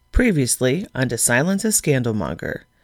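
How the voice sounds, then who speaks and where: Moderate pace, with a very clean recording and a silent background. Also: woman. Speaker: podcast host and author. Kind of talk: scripted narration with intro and outro. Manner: warm, formal, theatrical storyteller.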